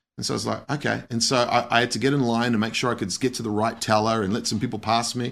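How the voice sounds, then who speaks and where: A man with an Australian accent, medium pitch and fairly even intonation, on a very clean recording with a silent background. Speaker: missionary pastor. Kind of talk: interview testimony.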